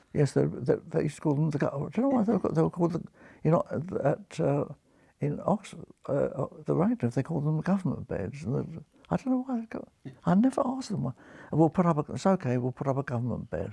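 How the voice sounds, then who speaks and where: Talking very fast, a man with a fairly high pitch, very wide pitch swings, vocal fry and a dark, mellow tone is heard in a dry, close recording with no echo. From London, East End. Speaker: retired surgeon. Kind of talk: interview storytelling. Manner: halting, repeating words.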